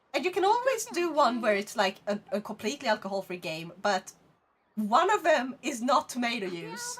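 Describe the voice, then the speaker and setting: A woman with a Swedish accent speaks at a moderate pace in a high voice, her pitch swinging very widely. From Sweden. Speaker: VTuber streamer. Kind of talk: casual chat.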